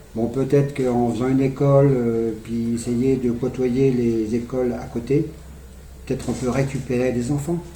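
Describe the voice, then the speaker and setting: A man's monotone, flat delivery at medium pitch and moderate pace, with audible room echo and noticeable background noise. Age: 60s. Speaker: petanque referee and youth coach. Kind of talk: interview. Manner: halting.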